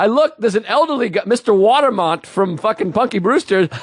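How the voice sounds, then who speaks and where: With an extremely high pitch, a man speaks at a fairly quick pace in an animated tone, with lively intonation and very even loudness. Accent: Boston. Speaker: comedian. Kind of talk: casual chat.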